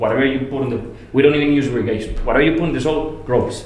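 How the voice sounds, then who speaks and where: There is audible room echo and noticeable background noise. A man speaks with a Spanish accent. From Colombia, Medellin. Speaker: landscape architect. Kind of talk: casual chat. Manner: halting.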